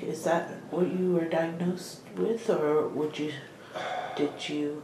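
Over noticeable background noise and audible room echo, a woman speaks very slowly at a fairly low pitch with fairly even intonation. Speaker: oral history interviewer. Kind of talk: interview questions. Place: meeting room.

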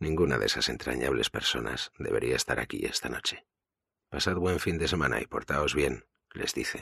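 In a dramatic tone, a man with a Spanish accent speaks at a moderate pace. The sound is dry and close, with no echo. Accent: Peninsular Spanish. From Spain. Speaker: audiobook narrator. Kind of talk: audiobook narration.

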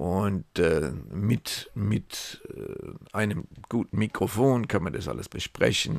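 A man's fairly low voice with vocal fry and lively intonation, dry with no echo against a quiet background. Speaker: retired travel agent and local web entrepreneur. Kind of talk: casual screen-share monologue. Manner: halting, many fillers. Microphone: headset.

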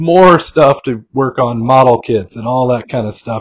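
The speech moves at a moderate pace. The background is quiet. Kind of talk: casual vlog chat. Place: home room. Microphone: phone near.

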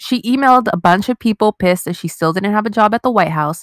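A woman's animated, very fast delivery with ordinary pitch variation, in a dry, close sound with no echo. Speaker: podcast co-host. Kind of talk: casual chat.

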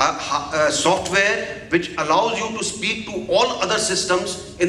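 A man's raised, projected voice at a fairly slow pace with ordinary pitch variation, amid light background noise and audible room echo. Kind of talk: formal address at a seminar. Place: hall. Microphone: podium.

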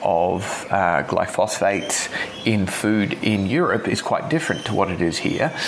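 Over noticeable background noise, a man with an Australian accent speaks at a fairly low pitch. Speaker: chiropractor. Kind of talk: casual chat. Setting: video call.

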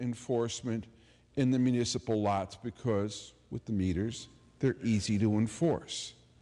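A man speaks at a fairly slow pace in a dark, mellow tone. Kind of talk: public debate speech. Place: hall. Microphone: podium.

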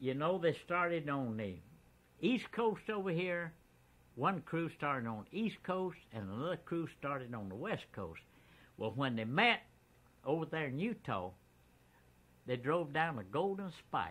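A man's voice with very wide pitch swings and long, frequent pauses. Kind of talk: storytelling interview. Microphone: old recording.

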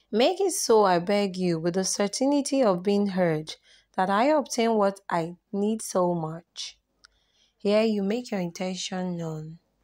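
A woman's plain, everyday voice at a medium pitch, with ordinary pitch variation and a fairly slow pace, on a very clean recording with a silent background. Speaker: prayer channel host. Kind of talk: fervent devotional prayer, read aloud in a pleading, reverent petition. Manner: earnest, solemn, imploring.

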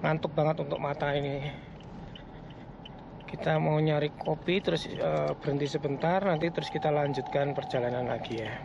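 Audible echo fills the room as a man talks at a moderate pace. His fairly high pitch has vocal fry and fairly even intonation.

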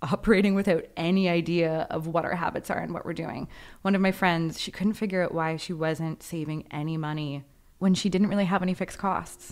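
In a very clean recording with a silent background, a woman uses a plain, everyday voice at a medium pitch, talking at a fairly quick pace with ordinary pitch variation. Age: 20s. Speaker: podcast co-host. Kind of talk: casual chat; scripted intro segment.

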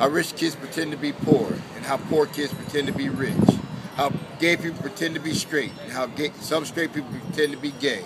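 Over loud background noise, a man talks at a fairly quick pace in a fairly high voice with ordinary pitch variation. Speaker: spoken word poet. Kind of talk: spoken word poetry performance. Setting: outdoors. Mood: calm, reflective. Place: street. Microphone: phone near.

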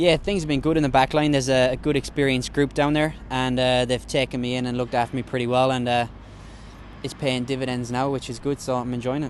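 A man's medium-pitched voice in an Irish accent, very fast and monotone, with light background noise. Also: dry sound with no echo. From Ireland (County Mayo). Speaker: professional Australian rules footballer. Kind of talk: casual interview. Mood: relaxed, joking. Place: stadium. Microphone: handheld.

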